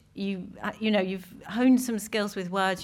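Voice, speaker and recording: This woman has an unremarkable speaking voice at a medium pitch with ordinary pitch variation, in a very clean recording with a silent background. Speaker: poet. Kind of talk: poetry reading. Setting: stage with audience.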